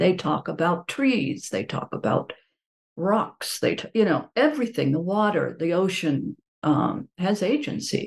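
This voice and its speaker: A woman with an American accent and vocal fry talks with very wide pitch swings. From US, Pittsburgh, Pennsylvania. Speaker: professor emerita, author and animal activist. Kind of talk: casual interview. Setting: video call.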